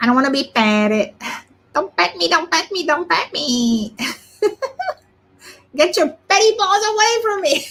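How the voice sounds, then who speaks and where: A put-on character voice speaks at a high pitch with very wide pitch swings. The pace is moderate, broken by long, frequent pauses. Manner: whiny, indignant.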